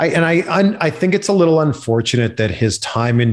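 A man with a Canadian accent speaks with lively intonation on a very clean recording with a silent background. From Canada. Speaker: TV host and entertainment reporter. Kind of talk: casual chat.

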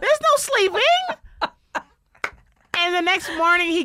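Speaking very slowly in a raised, projected voice, a woman with a New York accent reaches an extremely high pitch, recorded with a dry, close sound and no echo. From Bronx, New York. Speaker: stand-up comedian. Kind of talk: casual chat.

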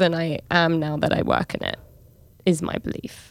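A woman with a London accent speaks at a fairly slow pace on a very clean recording with a silent background. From London, England. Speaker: podcast co-host, travel journalist. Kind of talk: casual chat.

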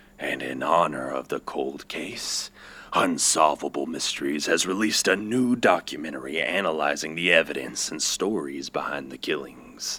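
A man with a very deep, low voice speaks at a moderate pace. His intonation is lively. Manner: cheerful, folksy, unsettling.

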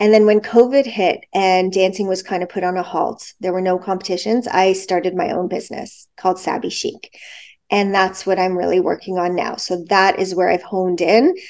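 In a Canadian accent, a woman with a normal speaking voice and medium pitch talks at a moderate pace. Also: fairly even intonation. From Toronto, Canada. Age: 40s. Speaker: competitive dancer. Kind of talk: casual chat.

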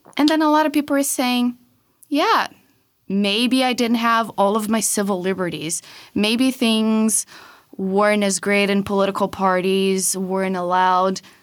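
A fairly slow delivery in a Portuguese accent, with very even loudness and ordinary pitch variation, on a very clean recording with a silent background. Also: woman, medium pitch for a woman. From Brazil. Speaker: political reform researcher. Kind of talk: interview.

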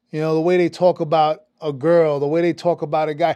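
A man with a New York accent, fairly high pitch and dark, mellow tone, in a dry, close sound with no echo against a quiet background. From New York City (Brooklyn/Queens). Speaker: actor and producer. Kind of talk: casual chat. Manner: animated, repetitive stammering starts.

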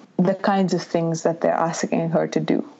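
Background noise is noticeable throughout. The woman's voice sits fairly low in pitch. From India, Bangalore. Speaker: novelist. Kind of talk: interview. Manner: halting.

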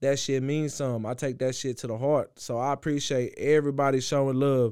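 This man has an unremarkable speaking voice, fairly high in pitch, with fairly even intonation and a moderate pace. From South Waco, Texas. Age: 20s. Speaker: rapper. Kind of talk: casual interview chat. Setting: studio.

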